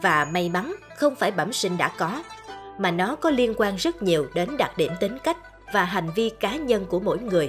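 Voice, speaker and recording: A medium-pitched woman at a fairly slow pace, pitch swinging very widely, with music in the background. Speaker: radio MC, narrator. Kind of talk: life-philosophy radio narration.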